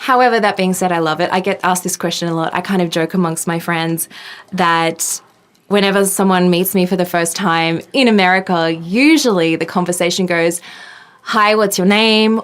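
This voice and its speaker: Fairly even intonation at a moderate pace, with an Australian accent. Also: woman, medium pitch for a woman. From Australia, Sydney. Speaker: tech journalist. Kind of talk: interview. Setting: podcast.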